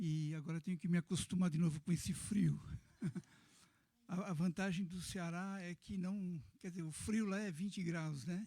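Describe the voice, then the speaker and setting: A soft-spoken man has a high pitch and a dark, mellow tone. His intonation stays fairly even. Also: moderate pace. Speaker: pastor, missionary. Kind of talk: sermon. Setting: church.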